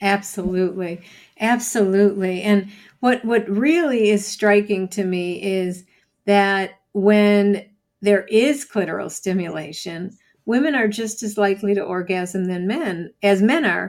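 A plain, everyday voice from a woman, fairly slow, with ordinary pitch variation. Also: medium pitch for a woman, very clean recording, silent background. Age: 60s. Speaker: psychology professor and sex therapist. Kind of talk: interview.

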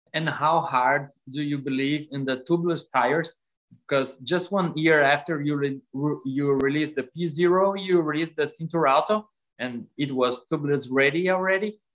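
The speaker has a Brazilian accent. The pace is moderate. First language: Portuguese. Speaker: cycling podcast co-host. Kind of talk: interview.

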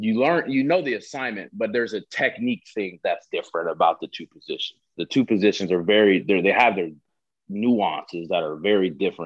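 An unremarkable speaking voice from a man, fairly low in pitch, at a fairly quick pace with lively intonation. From Southern California. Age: 20s. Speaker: professional football player. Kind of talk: casual interview.

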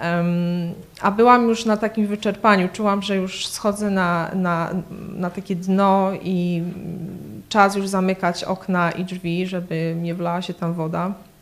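A woman talks very slowly with a monotone, flat intonation. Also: medium pitch for a woman. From southern Poland, between Kraków and Katowice. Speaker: church member, graphic artist. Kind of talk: testimony. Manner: hesitant, many fillers.

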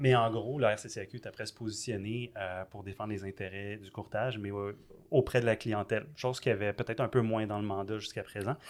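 A man's fairly low-pitched voice in a Quebec accent, at a fairly quick pace with fairly even intonation, on a very clean recording with a silent background. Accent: Québécois French. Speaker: podcast host, insurance broker. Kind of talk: casual interview.

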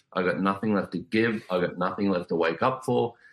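Over a very clean recording with a silent background, a man speaks with ordinary pitch variation. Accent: Australian. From Australia. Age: 40s. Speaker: author and life coach. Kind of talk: interview.

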